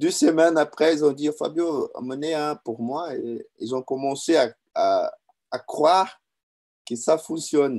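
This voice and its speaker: A man talks at a very slow pace with a fairly high pitch. His intonation stays fairly even. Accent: non-native. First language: Portuguese (speaking French). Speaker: business owner and distributor giving testimony. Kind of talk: testimony. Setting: online video event. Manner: halting, many hesitations and repetitions.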